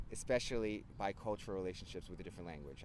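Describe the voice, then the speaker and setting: With a New Jersey accent, a man talks in a lively intonation with vocal fry, and room echo is audible. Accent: New Jersey American English. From New Jersey (Hoboken, Hudson County). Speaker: English teacher and vlogger. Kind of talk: casual chat. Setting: outdoors, handheld camera.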